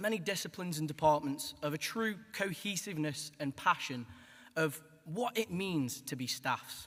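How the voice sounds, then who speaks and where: A man speaks with a Stoke accent and lively intonation. His pace is moderate. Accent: Stoke (Potteries). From Stoke-on-Trent, England. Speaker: graduating student. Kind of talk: graduation speech.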